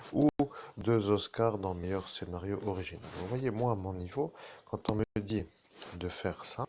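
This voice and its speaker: The man's voice is fairly low with ordinary pitch variation, and the sound is dry and close with no echo. He talks at a fairly slow pace, with long, frequent pauses. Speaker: self-styled medium. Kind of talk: live monologue to viewers. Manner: soft-spoken, slow; halting, restarting sentences.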